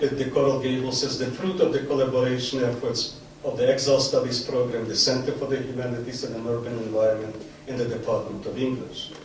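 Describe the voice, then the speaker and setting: A man with a medium-pitched voice talks at a fairly quick pace. The recording carries audible room echo and noticeable background noise. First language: Yiddish. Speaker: academic event host, professor. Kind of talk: formal introductory speech. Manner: formal.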